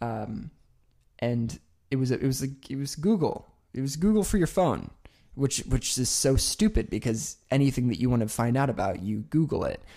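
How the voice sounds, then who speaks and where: Very wide pitch swings in a man's medium-pitched voice with a dark, mellow tone and an American accent, on a very clean recording with a silent background. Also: moderate pace. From Oklahoma. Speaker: podcast co-host. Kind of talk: casual chat.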